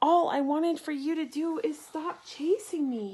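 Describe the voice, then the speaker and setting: A woman puts on a character voice, pitched extremely high, and keeps a moderate pace. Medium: read story. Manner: roaring.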